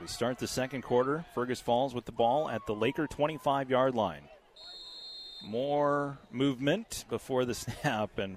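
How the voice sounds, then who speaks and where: This man has an unremarkable speaking voice with a medium pitch. He talks at a fairly slow pace with ordinary pitch variation. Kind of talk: live commentary.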